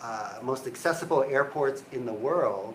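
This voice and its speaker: A man speaks at a moderate pace in a fairly high pitch. There is audible echo from the room. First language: Cantonese. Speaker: university provost. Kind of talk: live Q&A. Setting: office.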